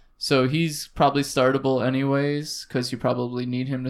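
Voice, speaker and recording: At a fairly quick pace, a man speaks with an American accent and monotone, flat intonation. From United States. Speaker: fantasy football podcast host. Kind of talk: casual chat.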